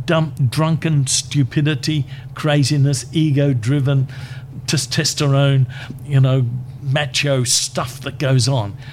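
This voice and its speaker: Over noticeable background noise, a man talks at a very slow pace. His fairly high voice stays monotone and flat. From Queensland, Australia. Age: 60s. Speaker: community chaplaincy leader. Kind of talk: interview.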